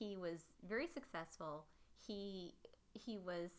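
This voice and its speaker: Her tone bright and sharp, a woman speaks at a fairly low pitch. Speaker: podcast host. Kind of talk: casual chat.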